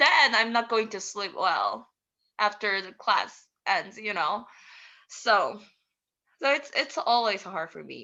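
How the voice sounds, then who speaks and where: Bright and sharp in tone, a woman with a fairly high pitch speaks at a very slow pace with long, frequent pauses. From South Korea. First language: Korean. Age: 20s. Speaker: international student. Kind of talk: interview. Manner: halting.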